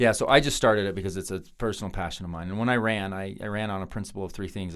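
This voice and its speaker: In a very clean recording with a silent background, a man with a Utah accent talks very fast at a fairly low pitch, his intonation fairly even. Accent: American, Utah. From Ogden, Utah. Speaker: U.S. congressman. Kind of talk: podcast interview answer.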